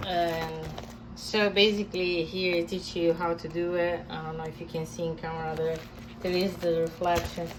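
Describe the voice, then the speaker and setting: A woman's fairly low voice with a strong non-native accent and audible room echo. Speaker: comic artist. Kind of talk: tutorial. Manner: halting, many fillers.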